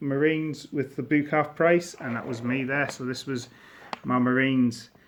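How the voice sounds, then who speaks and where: With a northeast English accent, a man talks at a moderate pace. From northern England, near Durham. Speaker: miniature wargaming hobbyist. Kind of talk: casual show-and-tell video. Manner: casual, slightly halting.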